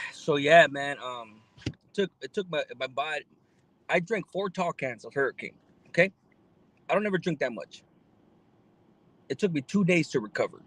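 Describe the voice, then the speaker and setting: With an American accent, a man speaks at a moderate pace in a high pitch, his intonation lively, his loudness swinging widely, and his pauses long and frequent, all in a dry, close sound with no echo. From Los Angeles area, California. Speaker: live streamer. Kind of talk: casual live stream chat. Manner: laid-back, slangy with many fillers.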